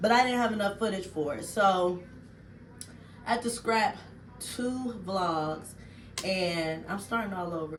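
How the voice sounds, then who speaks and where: A woman speaks at a fairly slow pace, with long, frequent pauses. Noticeable background noise and audible room echo fill the recording. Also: medium pitch for a woman, ordinary pitch variation. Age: 40s. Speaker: vlogger. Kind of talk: casual vlog chat. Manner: animated.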